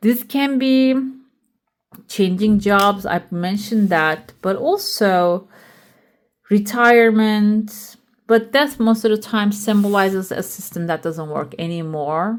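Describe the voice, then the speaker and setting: The background is silent on this very clean recording. A woman talks at a very slow pace. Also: medium pitch for a woman, ordinary pitch variation. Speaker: tarot reader. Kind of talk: tarot reading. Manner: casual, with fillers.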